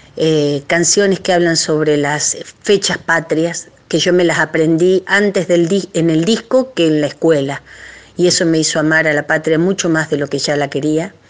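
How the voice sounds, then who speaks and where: Noticeable background noise sits behind this woman's voice. Her pitch is fairly low, her intonation fairly even and her loudness very even. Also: moderate pace. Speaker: folk singer. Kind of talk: recorded recommendation message. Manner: casual, chatty.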